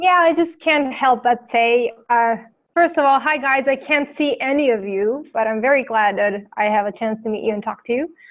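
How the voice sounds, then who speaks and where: Speaking at a moderate pace with a non-native accent, a woman uses a high pitch and ordinary pitch variation. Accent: foreign accent, noticeable. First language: not English. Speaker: therapist. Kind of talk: live group video chat.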